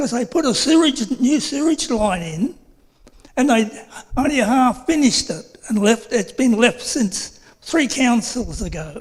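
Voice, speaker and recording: A man with an Australian accent at an extremely high pitch, with lively intonation and a fairly slow pace. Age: 70s. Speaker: resident asking a question at a council meeting. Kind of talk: public question at council meeting. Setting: council chambers. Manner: halting.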